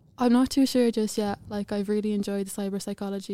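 In an Irish Midlands accent, a woman talks at a very fast pace. Her voice sits at a medium pitch with a dark, mellow tone. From Ireland, County Offaly. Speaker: university student. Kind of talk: podcast interview.

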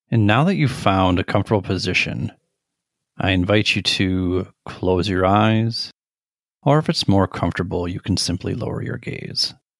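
A man speaks in a normal speaking voice with a fairly low pitch, ordinary pitch variation and a moderate pace. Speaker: meditation guide. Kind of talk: guided meditation. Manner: gentle, even, measured delivery.

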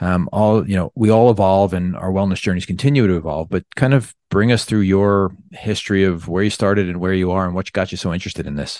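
Against a quiet background, a man with an American accent and a very deep, low pitch talks at a very fast pace with hardly any pauses and ordinary pitch variation. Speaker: podcast host and surgeon. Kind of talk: podcast interview. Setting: remote call.

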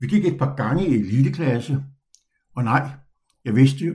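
At a moderate pace, a man speaks in a medium pitch with a dark, mellow tone, vocal fry, and lively intonation. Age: 70s. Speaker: podcast host and retired dog trainer. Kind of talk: personal storytelling monologue.

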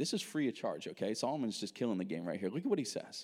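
In an animated tone with an American accent, the voice swings very widely in pitch over a very clean recording with a silent background. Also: man. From United States. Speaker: pastor. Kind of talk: sermon. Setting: church.

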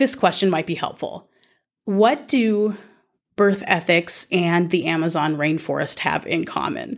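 A woman speaks at a moderate pace with a Californian accent. The recording is very clean, with a silent background. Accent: Californian American English. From Southern California. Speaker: podcast host and bioethicist. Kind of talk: solo podcast monologue.

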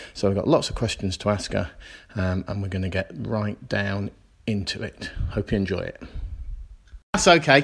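Captured in a very clean recording with a silent background, a man with a British accent speaks at a fairly low pitch and a moderate pace, his somewhat breathy voice showing ordinary pitch variation and long, frequent pauses. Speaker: podcast host. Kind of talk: interview.

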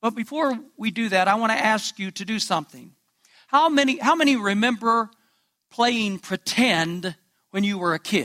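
Using a raised, projected voice, a man speaks at a high pitch and moderate pace with lively intonation and a bright, sharp tone, in a very clean recording with a silent background. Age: 70s. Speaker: pastor. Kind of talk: sermon.

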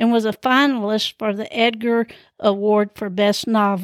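A woman with a Southern US accent speaks at a fairly slow pace in a fairly high, animated voice, on a very clean recording with a silent background and a dry, close sound with no echo. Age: 70s. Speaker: podcast host. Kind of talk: casual storytelling monologue. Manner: animated, laughs often; rambling, many fillers.

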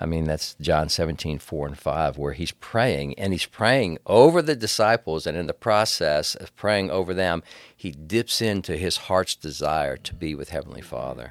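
Very deep and low with vocal fry, a man's voice moves at a moderate pace with lively intonation and hardly any pauses. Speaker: preacher. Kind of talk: casual church podcast discussion. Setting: studio.

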